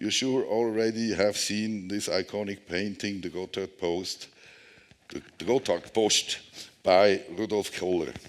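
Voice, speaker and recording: A man at medium pitch with a Swiss German accent, speaking at a fairly slow pace. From Switzerland. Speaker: tunnel engineer. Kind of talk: conference presentation. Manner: halting.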